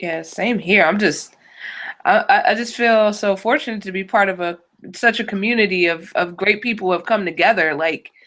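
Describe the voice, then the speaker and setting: Speaking in an American accent, a woman uses a plain, everyday voice at medium pitch, with ordinary pitch variation and a moderate pace. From Virginia, US South. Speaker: educator, online hangout co-host. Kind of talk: casual chat.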